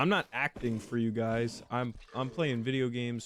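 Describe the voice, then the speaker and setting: The voice delivers its lines in a deadpan tone with monotone, flat intonation. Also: man. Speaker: gaming youtuber. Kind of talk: gameplay commentary. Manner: flat, deadpan.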